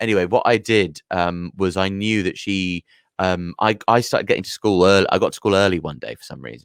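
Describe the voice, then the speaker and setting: A man's very deep, low voice with a London accent, fairly quick and with ordinary pitch variation, dry and close with no echo on a very clean recording with a silent background. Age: 30s. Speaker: comedian. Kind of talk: casual chat. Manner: halting.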